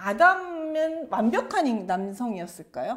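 A woman talks with very wide swings in pitch. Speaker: professor. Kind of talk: lecture. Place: studio.

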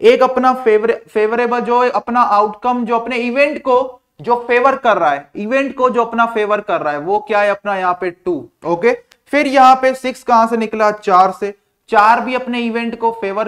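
A man speaks at an extremely high pitch with ordinary pitch variation, at a moderate pace. The background is quiet. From India. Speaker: online exam-prep teacher. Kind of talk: live online class lecture. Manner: repetitive, words said several times; casual and playful. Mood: jovial, laughing aside. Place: classroom. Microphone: lapel.

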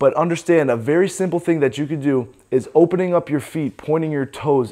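Against a quiet background, a man speaks in a dark, mellow tone with ordinary pitch variation. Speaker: fitness coach. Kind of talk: tutorial. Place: gym.

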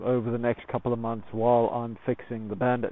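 A man talks at a fairly quick pace, the sound dry with no echo. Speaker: motorcycle vlogger. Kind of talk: casual vlog chat. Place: open country. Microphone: phone near.

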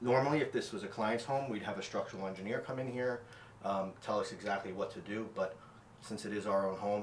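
A man's fairly low voice at a moderate pace, fairly even intonation, audible room echo, and light background noise. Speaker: contractor renovating his own home. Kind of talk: tutorial. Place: bathroom. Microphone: camera far.

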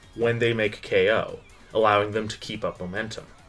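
The speaker's pitch rises and falls in an ordinary way, with faint music playing behind. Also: man. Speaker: video essay host. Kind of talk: commentary. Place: home room. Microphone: camera far.

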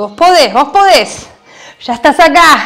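A woman speaking at a fairly slow pace. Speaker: fitness instructor. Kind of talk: workout class coaching cues. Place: home room.

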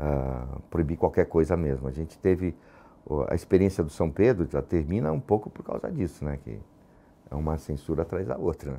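A man's very deep, low voice with vocal fry and a dark, mellow tone, at a moderate pace with ordinary pitch variation. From São Paulo, Brazil (Lapa). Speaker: theatre actor and former activist. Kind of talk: testimony interview. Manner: halting, many repetitions and fillers.

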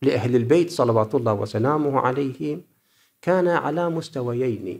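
On a very clean recording with a silent background, a man talks at a fairly slow pace with very wide pitch swings. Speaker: cleric researcher. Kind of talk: conference paper presentation.

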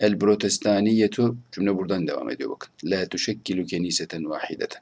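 Here is a man with an ordinary speaking voice at a fairly low pitch. He talks at a moderate pace. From Turkey. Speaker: Arabic language teacher. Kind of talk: online lecture. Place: home room. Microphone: webcam.

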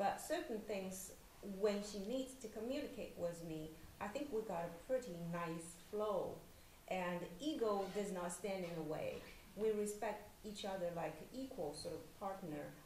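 A woman's lively intonation at a fairly slow pace, amid light background noise and audible room echo. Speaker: novelist. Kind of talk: panel discussion. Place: hall. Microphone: podium.

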